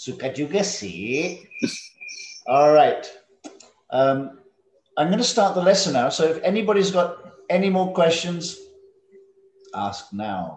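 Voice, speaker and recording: With an English accent, a man speaks at a high pitch and a fairly slow pace, with lively intonation, long, frequent pauses and audible room echo. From southwest London, England. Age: 50s. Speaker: English teacher. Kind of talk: online class. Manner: slow, clear.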